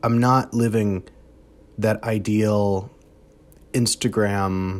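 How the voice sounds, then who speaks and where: On a very clean recording with a silent background, a man speaks in a fairly low pitch with fairly even intonation. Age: 20s. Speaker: vlogger sharing personal struggles. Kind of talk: personal confessional vlog. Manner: halting.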